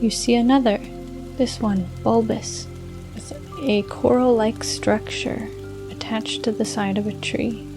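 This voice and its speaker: Over music in the background, a woman speaks at a fairly slow pace, leaving long, frequent pauses. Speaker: fantasy meditation narrator. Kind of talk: guided fantasy meditation / bedtime story narration. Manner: calm, slow, soothing.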